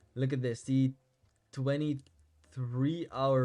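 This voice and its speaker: A man at medium pitch with a Dutch accent, monotone, flat intonation and a very slow pace. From Netherlands. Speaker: crypto trading YouTuber. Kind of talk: market analysis tutorial. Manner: casual, with fillers.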